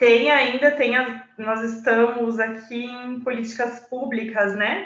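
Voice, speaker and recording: With audible room echo, a woman speaks very slowly at a high pitch with fairly even intonation. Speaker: data protection law speaker. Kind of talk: online presentation.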